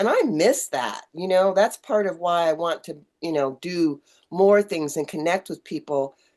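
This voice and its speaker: This woman has an unremarkable speaking voice with fairly low pitch and ordinary pitch variation. She speaks at a moderate pace. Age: 60s. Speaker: online community owner and podcast host. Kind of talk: casual chat.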